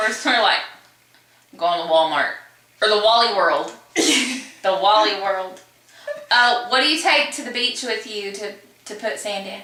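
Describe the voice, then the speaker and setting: With a Kentucky accent, a woman speaks at a moderate pace and fairly high pitch, her intonation lively, her loudness swinging widely, with long, frequent pauses and noticeable background noise. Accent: Southern US (Kentucky). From Kentucky, USA. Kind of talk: casual talk to camera.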